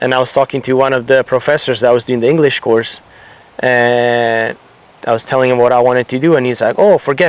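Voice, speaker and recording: Over noticeable background noise, a man with a slight Italian accent speaks at a medium pitch with fairly even intonation. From Italy. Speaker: surfboard shaper. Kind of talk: casual interview.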